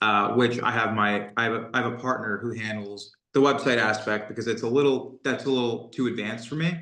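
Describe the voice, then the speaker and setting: A man's plain, everyday voice with an American accent, medium in pitch, fairly even in intonation, with hardly any pauses. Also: fairly quick pace. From New York (Brooklyn). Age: 30s. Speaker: SEO business owner. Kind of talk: interview.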